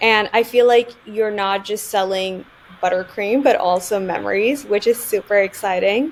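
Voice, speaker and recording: With noticeable background noise behind her, a woman speaks at a medium pitch and moderate pace, with ordinary pitch variation. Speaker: podcast host, marketing platform founder. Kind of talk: casual interview.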